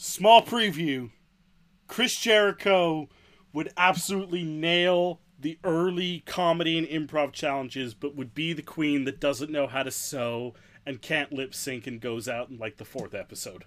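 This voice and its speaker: In an unremarkable speaking voice, a man talks at a fairly slow pace and fairly high pitch, with lively intonation and big swings in loudness. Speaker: podcast co-host. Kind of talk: casual banter, playful amen response.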